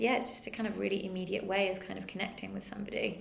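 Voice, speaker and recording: With a northern English accent, a woman speaks in very wide pitch swings, with audible room echo and noticeable background noise. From northern England. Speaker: museum curator. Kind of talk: casual interview.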